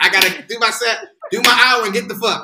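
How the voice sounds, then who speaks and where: A man with an American accent speaks at a fairly quick pace in a raised, projected voice, extremely high in pitch and lively in intonation. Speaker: actor and stand-up comedian. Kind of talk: casual chat. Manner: fast.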